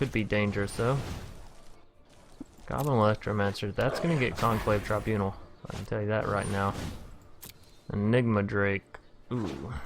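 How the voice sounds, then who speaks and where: A man's fairly low voice in a Southern US accent, at a moderate pace with ordinary pitch variation and long, frequent pauses. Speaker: gaming youtuber. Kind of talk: gameplay commentary. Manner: words jumbling together.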